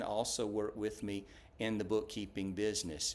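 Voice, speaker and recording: A man speaks with a Southern US accent at a moderate pace. His pitch sits in the medium range. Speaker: small business owner, bookkeeper. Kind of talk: business introduction video. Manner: many filler words (uh).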